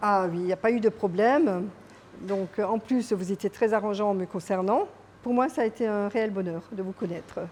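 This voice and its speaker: A woman's mid-range voice, with typical pitch movement, proceeds at a moderate speed. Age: 60s. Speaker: real estate client. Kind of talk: interview testimonial. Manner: hesitant, with fillers.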